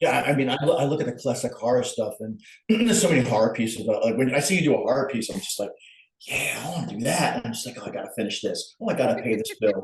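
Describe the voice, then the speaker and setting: Talking at a very fast pace, a man speaks with a Long Island accent. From Long Island, New York. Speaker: artist. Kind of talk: casual chat.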